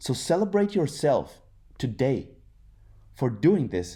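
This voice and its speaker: A man's dark, mellow voice with vocal fry, very wide pitch swings and a very slow pace. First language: German. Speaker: content creator, former professional athlete. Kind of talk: inspirational monologue then casual talk to camera. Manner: hesitant, many fillers.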